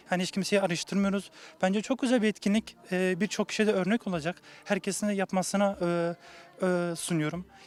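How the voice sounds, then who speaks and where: A man talks at a fairly quick pace in a high pitch, with fairly even intonation and very even loudness. The sound is dry and close, with no echo. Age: young. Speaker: association member. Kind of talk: interview.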